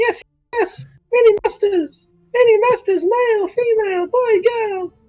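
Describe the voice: A put-on character voice comes through at a moderate pace. Its pitch is extremely high.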